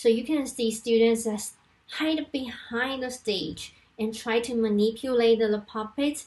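Speaking in a Chinese accent, a woman with a fairly high voice talks at a fairly slow pace with fairly even intonation. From Taiwan. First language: Mandarin Chinese. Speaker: university language lecturer. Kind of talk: conference presentation. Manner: halting, frequent fillers. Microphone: webcam.

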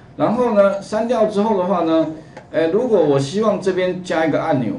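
A man is speaking. Light background noise and audible room echo are present. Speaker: computer course teacher. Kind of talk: lecture. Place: classroom.

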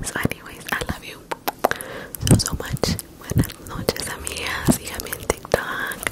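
Whispering at a moderate pace, a woman keeps her voice soft. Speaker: ASMR creator. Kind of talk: casual vlog chat, soft ASMR outro. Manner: soft whispered goodnight. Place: home room. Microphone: handheld.

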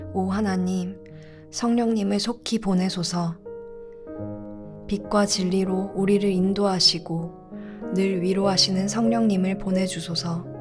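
Music plays behind a woman speaking at medium pitch with ordinary pitch variation. She talks at a very slow pace, with long, frequent pauses. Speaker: church youth narrator reading scripture and evening prayer. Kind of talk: evening prayer narration with scripture reading.

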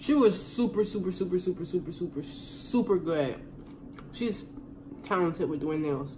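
Amid noticeable background noise, a woman with a fairly low pitch talks at a moderate pace, her pitch swinging very widely. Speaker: vlogger. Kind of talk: casual vlog chat while eating. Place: kitchen. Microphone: phone near.

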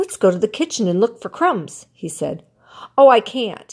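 Just an unforced reading voice.

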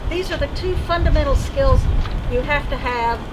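Loud background noise surrounds a woman's voice. She speaks at a moderate pace. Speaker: workshop instructor. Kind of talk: lecture. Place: farm. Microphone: camera far.

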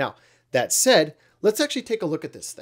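Very wide pitch swings stand out over a quiet background. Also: man. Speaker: vintage audio repair channel host. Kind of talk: tutorial commentary. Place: home room. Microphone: studio mic.

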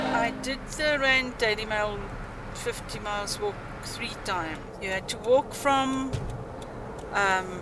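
A woman speaks at a very slow pace, leaving long, frequent pauses. The sound is dry with no echo, and loud background noise is present. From South Africa (Germiston, Gauteng). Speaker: former teacher, church youth choir leader. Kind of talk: interview answer. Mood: reflective, recalling memories. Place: home room.

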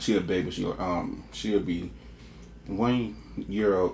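A man speaks with a very deep, low pitch. Light background noise can be heard. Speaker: mukbang creator. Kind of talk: casual vlog chat. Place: kitchen.

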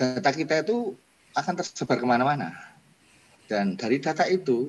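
Over light background noise, a man speaks at a moderate pace, his pitch swinging very widely. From Indonesia. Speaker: moderator, computer science lecturer. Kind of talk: panel moderation. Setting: video call. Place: home room. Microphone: video call.

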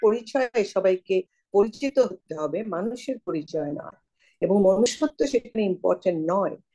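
Against a quiet background, a woman with a fairly high pitch and a dark, mellow tone swings very widely in pitch. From Bangladesh. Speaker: newspaper editor. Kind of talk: casual chat. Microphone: video call.

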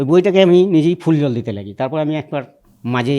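This is a man with an ordinary speaking voice. His intonation is lively. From West Bengal, Birbhum district. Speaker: religious devotee giving testimony. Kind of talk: testimony interview.

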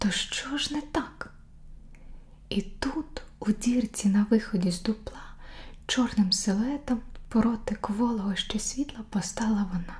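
Soft-spoken, a woman whispers at a very slow pace. Her pauses are long and frequent. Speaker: ASMR creator reading a story aloud. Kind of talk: bedtime story reading for sleep. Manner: whispered, soft, slow. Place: home room.

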